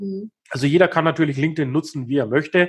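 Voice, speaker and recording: Somewhat breathy, a man's voice comes through with little sound behind it. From Upper Franconia, northern Bavaria (Kulmbach). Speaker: business consultant. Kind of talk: interview.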